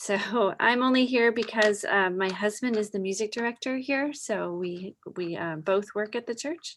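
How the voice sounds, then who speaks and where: A woman speaks in a strong Wisconsin accent at a moderate pace with ordinary pitch variation. The recording is very clean, with a silent background. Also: fairly high pitch for a woman, hardly any pauses. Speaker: church children's director. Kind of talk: casual group introductions.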